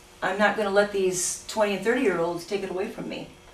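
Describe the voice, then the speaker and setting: Over noticeable background noise and audible room echo, a woman talks in a medium pitch. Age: 60s. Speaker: cosmetic surgery patient giving testimonial. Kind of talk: testimonial interview. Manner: animated.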